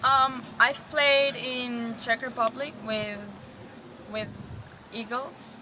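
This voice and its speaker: A woman speaks at a very slow pace with a high pitch and flat, monotone intonation. Long pauses come often, and background noise is noticeable. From Spain. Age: 20s. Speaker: softball player. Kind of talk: interview. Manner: hesitant, many fillers.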